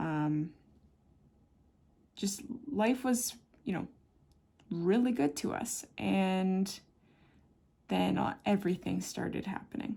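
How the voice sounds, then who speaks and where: At a very slow pace with long, frequent pauses, the voice sounds somewhat breathy and dark, mellow in tone, with lively intonation. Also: woman, medium pitch for a woman. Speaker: watercolor artist. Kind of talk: casual chat. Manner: casual, with many fillers.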